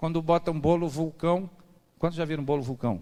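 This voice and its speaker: An animated man with a fairly high voice. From Rio de Janeiro, Brazil. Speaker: preacher. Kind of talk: sermon. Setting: church service.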